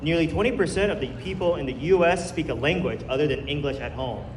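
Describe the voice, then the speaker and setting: There is noticeable background noise and audible room echo. A man speaks with ordinary pitch variation. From US, child of Chinese immigrants. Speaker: speaker at health event. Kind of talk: public talk. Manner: casual, conversational.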